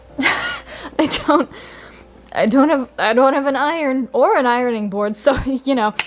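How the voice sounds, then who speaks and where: Doing a put-on character voice, a woman speaks at a moderate pace in a high, wheezy pitch. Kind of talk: casual, conversational. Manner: wheezing laughter.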